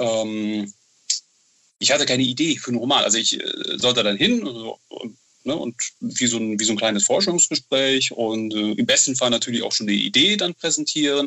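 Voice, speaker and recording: At a moderate pace, a man with a medium pitch and ordinary pitch variation speaks with long, frequent pauses. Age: 30s. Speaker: horror novel author. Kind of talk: interview. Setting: Skype call. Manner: halting, many fillers.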